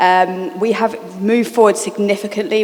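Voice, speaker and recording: Noticeable background noise sits behind a woman's medium-pitched voice. She moves at a fairly quick pace with fairly even intonation. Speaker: charity programme manager. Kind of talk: panel discussion. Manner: fast.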